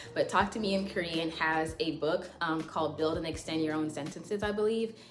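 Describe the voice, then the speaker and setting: Over noticeable background noise and audible room echo, a woman talks fairly quickly at a fairly low pitch with fairly even intonation. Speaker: language learning YouTuber. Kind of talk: casual tutorial vlog. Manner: casual, many fillers.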